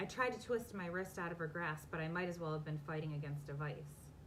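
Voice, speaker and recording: Somewhat breathy and very deep in pitch, a woman talks at a fairly quick pace with ordinary pitch variation and audible room echo. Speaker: romance author. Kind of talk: casual chat; reading aloud. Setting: live video from home basement. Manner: fast.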